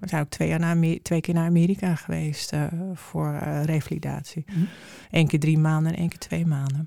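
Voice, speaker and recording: A woman's very deep, low voice has a dark, mellow tone and monotone, flat intonation. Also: moderate pace. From Amsterdam. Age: 50s. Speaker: mother of a son with brain injury. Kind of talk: interview. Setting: studio.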